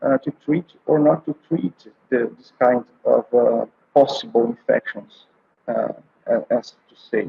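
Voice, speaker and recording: Speech unfolds fairly slowly. Frequent, lengthy pauses interrupt it. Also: man. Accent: Brazilian Portuguese. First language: Portuguese. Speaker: oncologist and palliative care doctor. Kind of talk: conference presentation. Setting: online conference video call. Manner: halting, many fillers.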